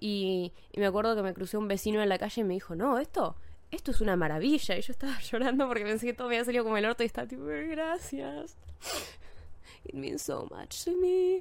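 Here a woman talks at a fairly quick pace. Her fairly high voice moves in very wide pitch swings. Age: 20s. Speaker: podcast host. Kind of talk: casual monologue. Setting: home studio. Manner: animated; code-switching Spanish and English.

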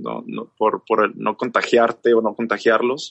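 This man has an unremarkable speaking voice at a medium pitch and a fairly slow pace. The sound is dry and close, with no echo. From northern Mexico, Chihuahua. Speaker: singer and musician. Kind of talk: casual chat.

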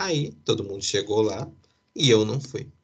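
A man is speaking. His voice is somewhat breathy. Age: 30s. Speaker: podcast host. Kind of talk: casual chat.

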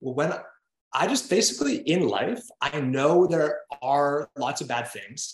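This man speaks at a fairly slow pace in a fairly high, somewhat breathy voice with lively intonation. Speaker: writer and digital creator. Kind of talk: podcast interview. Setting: video call.

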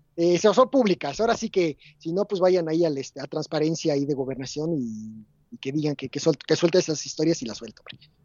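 Lively in intonation and fairly quick in pace, a man speaks in an unremarkable speaking voice pitched fairly high. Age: 30s. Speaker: podcast guest. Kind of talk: casual chat.

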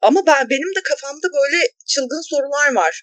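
The recording is dry and close, without echo. A woman talks at a moderate speed. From small Anatolian city, Turkey. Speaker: podcast co-host. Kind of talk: casual chat.

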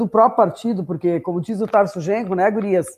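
Against a quiet background, a woman speaks in an unremarkable speaking voice at a medium pitch with ordinary pitch variation. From Ibirubá, Rio Grande do Sul. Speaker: politician, mayoral candidate. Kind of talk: political livestream chat. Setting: online livestream.

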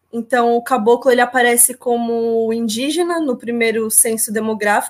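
A woman speaks in a normal speaking voice with a fairly high pitch. Her intonation stays fairly even. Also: hardly any pauses. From São Paulo coast, Brazil. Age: 20s. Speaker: geography teacher and visual artist. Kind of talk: panel talk.

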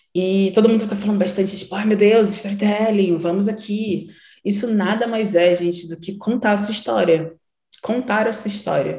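A woman's somewhat breathy voice sits at medium pitch, with ordinary pitch variation at a moderate pace. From Rio de Janeiro, Baixada Fluminense (Nilópolis). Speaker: creative strategist and workshop facilitator. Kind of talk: online workshop lecture.

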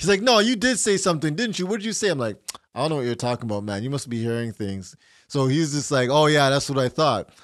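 A man at a very fast pace with very wide pitch swings. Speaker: podcast co-host. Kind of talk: casual chat. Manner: loud.

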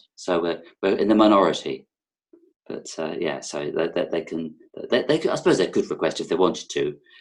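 With a slight London accent, a man speaks at a fairly quick pace. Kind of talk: casual interview chat. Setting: video call.

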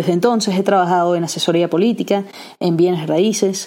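The voice is a plain, everyday voice from a woman at a medium pitch. Her intonation stays fairly even. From Venezuela, raised in Aberdeen, Scotland from age six. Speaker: podcast host and entrepreneur. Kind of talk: solo podcast monologue. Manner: casual with frequent fillers and restarts.

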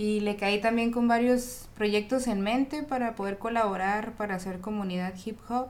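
Speaking at a medium pitch and a moderate pace, a woman with a normal speaking voice keeps her intonation fairly even. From Ensenada, Baja California, Mexico. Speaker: rapper. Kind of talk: casual chat.

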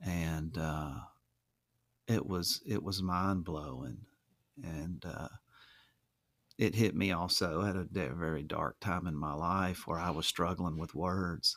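Very clean and silent in the background, the recording holds a man with an Alabama accent, a very deep, low pitch, vocal fry and ordinary pitch variation. He talks at a very slow pace with long, frequent pauses. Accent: Southern US (Alabama). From US South, Alabama (Mobile County). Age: 40s. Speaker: musician and painter. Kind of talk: casual interview conversation.

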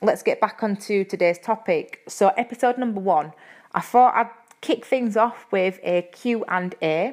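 With a Yorkshire accent, a woman talks at a fairly slow pace, her fairly high pitch showing ordinary pitch variation. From Yorkshire, England. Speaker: personal trainer and podcast host. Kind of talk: casual solo podcast talk. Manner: uses filler words, friendly and chatty.

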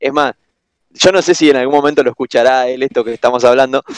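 A man with a Rioplatense accent, in a dry, close sound with no echo. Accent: Argentine Rioplatense Spanish. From Argentina. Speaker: exchange student guest. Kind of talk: casual chat.

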